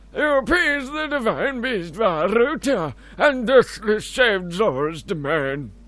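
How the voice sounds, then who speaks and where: Using a put-on character voice, a man speaks at a fairly slow pace in a high pitch with very wide pitch swings. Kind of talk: mock-formal royal speech. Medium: game stream. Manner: formal, ornate. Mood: grave and grateful.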